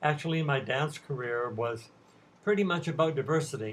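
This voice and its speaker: At a moderate pace, a somewhat breathy voice talks with ordinary pitch variation. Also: man. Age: 70s. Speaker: retired ballet dancer and teacher. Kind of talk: prepared talk to students. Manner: formal.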